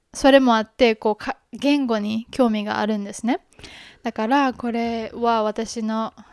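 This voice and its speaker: A woman with a fairly high pitch speaks in a Kansai accent at a fairly slow pace with fairly even intonation. The background is quiet and the sound is dry with no echo. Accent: Kansai Japanese. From Japan, Kobe (Hyogo); Japan. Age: 20s. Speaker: podcast host. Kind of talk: casual introduction monologue. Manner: halting, many fillers. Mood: relaxed, friendly. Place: home room. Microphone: handheld.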